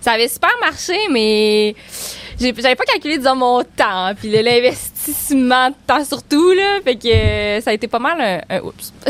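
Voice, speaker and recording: A woman speaks at a high pitch with lively intonation and a fairly slow pace. There is noticeable background noise. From Quebec, Baie-Comeau area. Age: 20s. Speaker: outdoor tourism entrepreneur. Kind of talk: casual chat.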